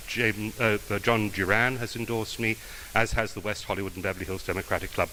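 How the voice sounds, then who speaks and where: A man with an English accent speaks at a fairly quick pace, his pitch medium and his intonation flat and monotone. Noticeable background noise sits behind him. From England, London. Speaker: judicial candidate, prosecutor. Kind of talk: campaign speech; answering questions at a forum. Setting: club meeting with audience. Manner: halting, many fillers.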